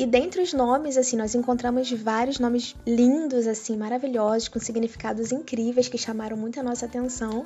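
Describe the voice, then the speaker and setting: A woman speaks in a high pitch at a moderate pace with fairly even intonation. She leaves hardly any pauses. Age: 30s. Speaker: podcast co-host. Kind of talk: casual chat.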